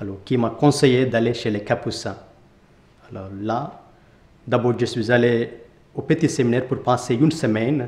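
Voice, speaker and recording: At a moderate pace, a man speaks in an Indian accent with fairly even intonation. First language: Indian language (speaking French). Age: 20s. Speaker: Capuchin friar. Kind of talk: testimony interview. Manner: halting.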